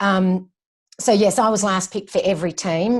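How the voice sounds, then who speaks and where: The background is quiet. Intonation stays fairly even. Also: woman. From Australia, Melbourne. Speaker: running coach. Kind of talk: casual interview.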